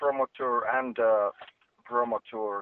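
The speaker has a Finnish accent and fairly even intonation. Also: man. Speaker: singer in a rock band. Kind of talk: interview. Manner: halting.

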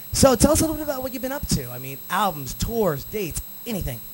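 With an energetic tone and very wide pitch swings, a man talks at a fairly quick pace over noticeable background noise. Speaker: webcast DJ show host and producer. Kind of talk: live show hosting. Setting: studio. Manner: energetic radio announcer style.

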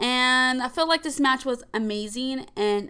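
Raised and projected, the voice has a bright, sharp tone and ordinary pitch variation over a quiet background. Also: woman. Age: 20s. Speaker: wrestling podcast host. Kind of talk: casual solo podcast monologue. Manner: hesitant, many fillers.

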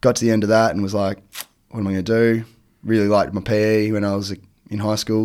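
A man with an Australian accent, fairly low in pitch, talking at a very fast pace in a flat monotone on a very clean recording with a silent background. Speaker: teacher and water skier. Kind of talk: casual chat.

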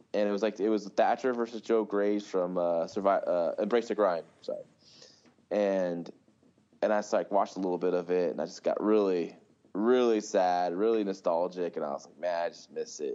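A man with an unremarkable speaking voice talks at a moderate pace in a fairly low pitch, with big swings in loudness. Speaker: podcast co-host. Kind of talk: casual chat. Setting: video call.

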